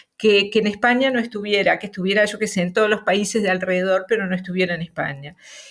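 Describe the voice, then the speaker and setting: A woman speaks at a medium pitch. She has a Rioplatense accent. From Uruguay, Montevideo. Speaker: novelist. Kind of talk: interview. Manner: hesitant, many fillers.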